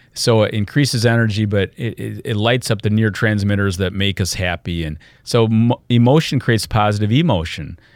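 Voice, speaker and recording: In a normal speaking voice with an American accent, this speaker talks at a fairly quick pace with hardly any pauses and ordinary pitch variation, on a very clean recording with a silent background. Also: man, fairly low pitch for a man. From US Midwest, Michigan. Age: 60s. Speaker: health and wellness speaker. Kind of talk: interview. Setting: studio.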